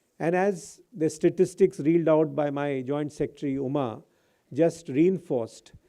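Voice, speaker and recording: With an Indian accent, the speaker has a dark, mellow tone against a quiet background. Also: man, fairly high pitch for a man, ordinary pitch variation, moderate pace. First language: Hindi. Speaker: senior government official. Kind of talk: formal speech. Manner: formal.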